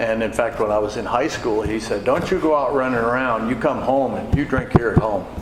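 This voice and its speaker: A man with an American accent speaks at a fairly quick pace with fairly even intonation. Audible room echo and noticeable background noise fill the recording. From Wisconsin, US Midwest. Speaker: AA speaker. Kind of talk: testimony. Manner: conversational, many fillers.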